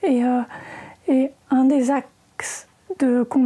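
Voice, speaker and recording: A woman's high-pitched voice, flat and monotone, over noticeable background noise. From France, Normandy. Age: 40s. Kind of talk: interview conversation. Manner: hesitant, many fillers.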